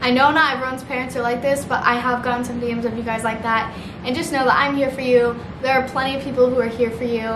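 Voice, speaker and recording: With noticeable background noise behind her, a high-pitched woman talks at a very fast pace in a monotone, flat intonation. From Missouri. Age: 20s. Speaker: YouTuber. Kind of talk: casual vlog talk to camera. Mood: earnest, supportive. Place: home room.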